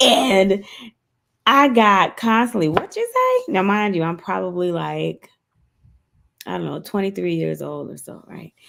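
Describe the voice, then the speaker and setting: A woman in a South Carolina Lowcountry accent speaks at a fairly slow pace with big swings in loudness and long, frequent pauses. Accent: South Carolina Lowcountry Southern US. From US South, Orangeburg, South Carolina. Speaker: co-host of a women's career talk show. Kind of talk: live fireside chat discussion.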